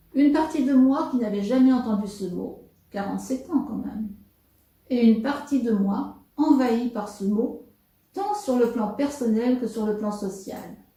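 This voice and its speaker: A woman's high voice at a fairly slow pace, with ordinary pitch variation and audible room echo. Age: 70s. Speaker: interviewee with psychiatric experience. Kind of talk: testimony. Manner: formal.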